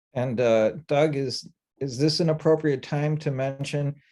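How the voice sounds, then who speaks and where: This man has a fairly high pitch and a dark, mellow tone. He keeps a moderate pace with ordinary pitch variation. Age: 70s. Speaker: transit advocate. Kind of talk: public meeting discussion.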